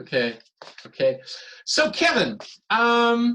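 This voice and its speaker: A man's high-pitched voice with a German accent and a bright, sharp tone. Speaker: interviewer. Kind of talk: interview. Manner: halting.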